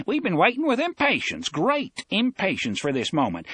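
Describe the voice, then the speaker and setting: A man's put-on character voice with very wide pitch swings. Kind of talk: formal, old-fashioned. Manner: effusive, overly courteous greeting.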